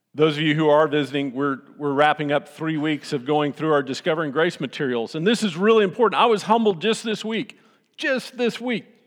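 The speaker has a Texan accent and lively intonation. The pace is fairly quick with hardly any pauses, over a quiet background. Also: man, fairly high pitch for a man. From Texas, Austin. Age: old. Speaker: pastor. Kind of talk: sermon. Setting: church.

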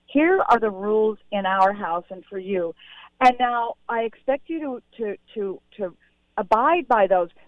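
A woman talks in a plain, everyday voice. Her pitch is fairly high and her intonation lively. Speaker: pediatrician and author. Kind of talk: interview about her book.

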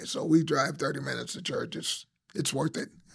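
A man's high voice with fairly even intonation. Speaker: retired military officer and rideshare driver. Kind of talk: personal testimony.

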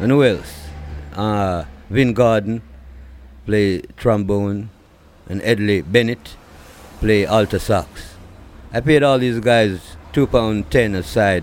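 With a Jamaican accent, a man speaks at a fairly low pitch and a very slow pace, using ordinary pitch variation and long, frequent pauses. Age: 60s. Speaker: reggae singer. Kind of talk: interview. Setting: at home. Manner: halting.

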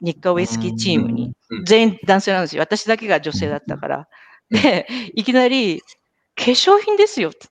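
A woman speaks fairly quickly at a medium pitch, with very wide pitch swings and vocal fry. The sound is dry and close, with no echo. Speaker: podcast host and marketing professional. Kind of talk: casual chat. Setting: live video stream.

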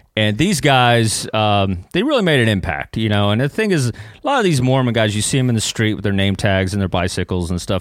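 A man's fairly low, lively voice at a fairly quick pace, hardly any pauses, on a very clean recording with a silent background. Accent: Texan. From East Texas (Kilgore). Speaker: comedian and former missionary. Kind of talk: casual chat. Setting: studio.

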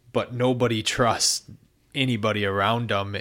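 In a very clean recording with a silent background, a man speaks in an ordinary speaking voice, fairly low in pitch with fairly even intonation. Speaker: amateur gravel cyclist. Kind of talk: casual chat.

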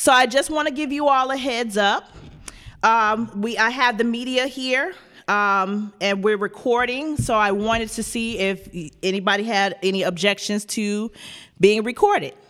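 This is a normal speaking voice, a woman's, fairly high in pitch with an American accent. She goes at a moderate pace with ordinary pitch variation. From Chicago South Side. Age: 30s. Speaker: activist pastor. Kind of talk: interview conversation.

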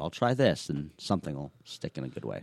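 Very fast and with very wide pitch swings, a man speaks with an American accent in a dry, close sound with no echo. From Minnesota, US Midwest. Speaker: wheelchair rugby player. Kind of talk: interview conversation.

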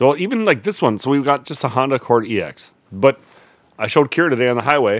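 An unremarkable speaking voice from a man, medium in pitch, at a fairly quick pace with lively intonation. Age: 30s. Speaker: podcast co-host. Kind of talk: casual chat.

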